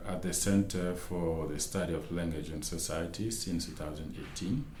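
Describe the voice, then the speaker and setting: A man with a Malian accent and a very deep, low pitch, fairly even intonation, audible room echo and noticeable background noise. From Mali (Bamako). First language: Bambara. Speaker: academic researcher and lecturer. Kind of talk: interview. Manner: halting.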